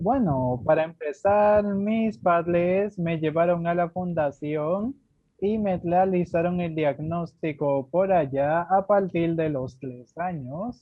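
His delivery is very slow. This man's voice is high, and its pitch varies in an ordinary way. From Dominican Republic. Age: 20s. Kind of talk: radio interview testimony. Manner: formal.

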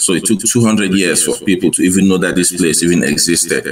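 Through noticeable background noise, a man speaks at a moderate pace with ordinary pitch variation. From Cameroon. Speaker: army officer and history enthusiast. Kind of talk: interview.

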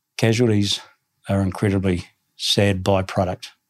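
Speaking at a moderate pace, a man with a New Zealand accent has a fairly low pitch. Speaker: army general. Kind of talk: interview. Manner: halting.

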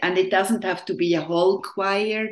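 A woman with a non-native accent at medium pitch, against a quiet background. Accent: non-Southern, foreign. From Switzerland. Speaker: orchestra conductor. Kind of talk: interview.

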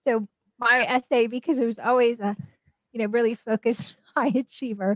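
A woman's fairly high voice, a plain, everyday voice, at a moderate pace with fairly even intonation and a dry, close sound with no echo. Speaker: professor and author. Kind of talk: interview.

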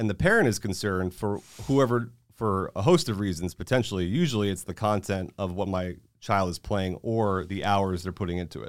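In a plain, everyday voice with an American accent, a man talks at a fairly low pitch and a fairly quick pace with ordinary pitch variation, in a very clean recording with a silent background. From Florida, Tampa Bay. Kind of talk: casual chat. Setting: studio.

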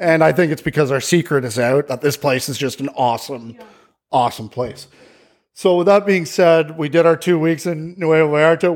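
A man's fairly high voice, an ordinary speaking voice with a Canadian accent and fairly even intonation. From Ontario, Canada. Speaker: real estate agent. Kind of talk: interview.

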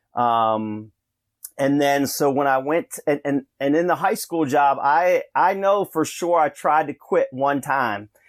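With an American accent, a man talks fairly slowly at a fairly high pitch, in a plain, everyday voice. His pitch variation is ordinary, and the sound is dry and close with no echo. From Rochester area, western New York. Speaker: basketball coach. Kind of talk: casual interview.

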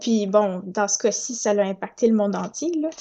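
A woman with a dark, mellow tone speaks at a moderate pace. Her pitch variation is ordinary, and the background is quiet. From Quebec (Saint-Hyacinthe, Montérégie). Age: 20s. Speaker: audiobook narrator. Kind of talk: interview.

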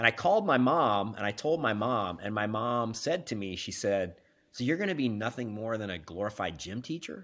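Animated and with lively intonation, a man speaks at a medium pitch and moderate pace. The recording is very clean, with a silent background. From US Midwest, Kansas. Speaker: business executive. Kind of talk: casual interview.

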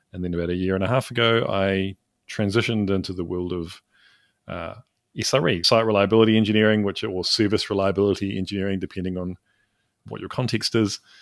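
Very fast and fairly low in pitch, a man with a New Zealand accent speaks with fairly even intonation in a very clean recording with a silent background. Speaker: developer advocate. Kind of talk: casual chat.

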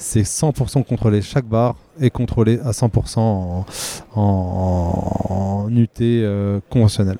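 Noticeable background noise accompanies a man speaking at a very slow pace, his fairly low voice holding fairly even intonation and very even loudness. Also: dry, close sound with no echo. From Vosges, eastern France. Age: 30s. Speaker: non-destructive testing technician and powerlifter. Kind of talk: trade-show interview. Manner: hesitant, with fillers.

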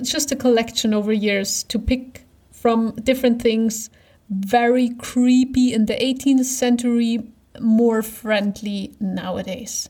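A woman with a German accent speaks in a dark, mellow tone at a fairly high pitch, her intonation fairly even. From eastern Germany. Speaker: podcast co-host. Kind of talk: casual chat.

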